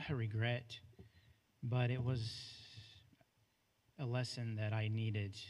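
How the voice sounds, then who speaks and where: In an American accent, this somewhat breathy voice moves at a fairly slow pace with a monotone, flat intonation. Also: man. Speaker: former school janitor. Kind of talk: public comment at board meeting. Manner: halting, many fillers.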